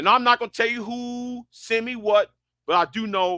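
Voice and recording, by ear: A man talks at a moderate pace in a bright, sharp tone. The sound is dry and close with no echo.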